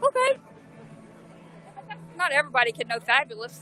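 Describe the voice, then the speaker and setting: A woman speaks in a Southern US accent with an animated tone. Music plays in the background. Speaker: protester and livestreamer. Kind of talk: impassioned speech to livestream; livestream chat.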